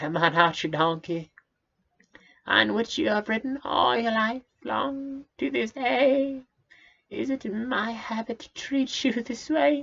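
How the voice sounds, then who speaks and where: A man speaks in a put-on character voice, pitched extremely high. His pace is fairly slow. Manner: reproachful, indignant.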